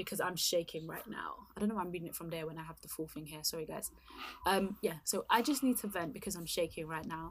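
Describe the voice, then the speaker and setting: A woman talks at a very fast pace with lively intonation. Her voice sits at a medium pitch and swings widely in loudness. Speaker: podcast host. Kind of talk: casual chat. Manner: chatty, easily distracted.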